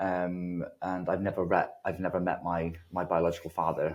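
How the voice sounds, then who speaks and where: Against a quiet background, a man speaks with a British accent. His voice sits very deep and low. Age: 30s. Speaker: recovering addict sharing his story. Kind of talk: testimony.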